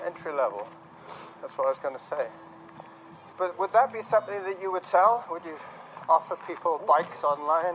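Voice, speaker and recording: Against noticeable background noise, a high-pitched man talks at a fairly quick pace with long, frequent pauses. His loudness swings widely. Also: ordinary pitch variation. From England. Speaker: podcaster. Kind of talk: casual chat while running. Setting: outdoors, park.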